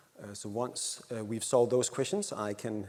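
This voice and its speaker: A man speaks with a Danish accent. His pace is fairly quick. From Denmark. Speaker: happiness researcher. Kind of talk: conference talk. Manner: halting.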